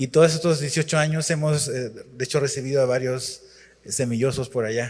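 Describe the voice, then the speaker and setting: A man talks at a moderate pace with medium pitch and fairly even intonation. The room echo is audible. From Chile. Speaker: pastor. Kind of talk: sermon.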